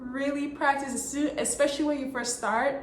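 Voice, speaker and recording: Noticeable background noise and audible room echo around a woman with an American accent. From Texas. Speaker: OB/GYN physician. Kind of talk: advice talk to camera.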